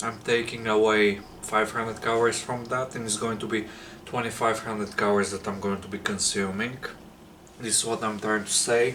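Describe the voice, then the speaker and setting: In a non-native accent, a man with a fairly low pitch talks at a fairly quick pace in monotone, flat intonation. There is noticeable background noise and audible room echo. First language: not English. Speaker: fitness vlogger. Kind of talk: casual vlog monologue. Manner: halting, searching for words.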